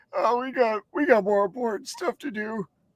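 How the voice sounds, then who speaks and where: This put-on character voice sits at a fairly high pitch and moves at a moderate pace. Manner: dismissive, smug.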